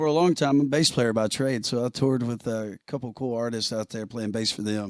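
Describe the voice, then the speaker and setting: A fairly quick-paced man in an American accent. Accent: country twang. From Alabama, US South (Alexander City). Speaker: country singer and bass player. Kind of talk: casual interview on live stream. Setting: live stream video call.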